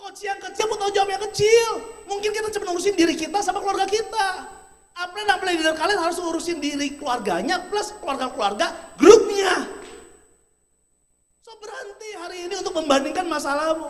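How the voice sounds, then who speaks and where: In a room with audible echo, a man with an extremely high pitch talks in an animated tone at a very fast pace, with ordinary pitch variation and big swings in loudness. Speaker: motivational speaker. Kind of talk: motivational seminar talk. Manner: animated, rhetorical.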